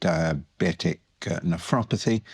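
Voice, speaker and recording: A man's very deep, low voice in a British accent, with fairly even intonation and a dry, close sound with no echo. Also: very clean recording, silent background. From United Kingdom. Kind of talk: interview. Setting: recorded at a medical congress. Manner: halting, many fillers.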